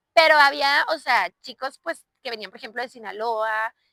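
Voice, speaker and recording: With a northern Mexican accent, a woman speaks in a high pitch and a bright, sharp tone, the sound dry and close with no echo. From northern Mexico, Chihuahua. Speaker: podcast host, civil engineer. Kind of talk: personal storytelling monologue. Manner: casual, filler-heavy.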